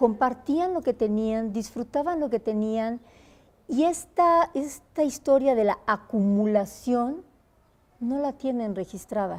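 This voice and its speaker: Her voice is high-pitched with a dark, mellow tone and lively intonation. The woman speaks at a fairly slow pace on a very clean recording with a silent background. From Mexico. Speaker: singer. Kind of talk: interview answer.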